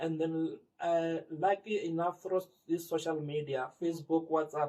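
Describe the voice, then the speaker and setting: A man's high voice with a Limpopo accent, fairly slow, very even in loudness, and monotone in intonation. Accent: South African (Limpopo). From Limpopo, South Africa. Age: 40s. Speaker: community sports organiser. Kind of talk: interview answer.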